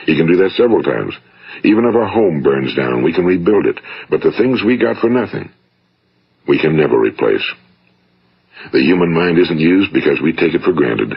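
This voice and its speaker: A man with an American accent, a fairly quick pace, very even loudness, and long, frequent pauses. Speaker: motivational speaker / radio broadcaster. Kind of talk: motivational speech, vintage spoken-word recording.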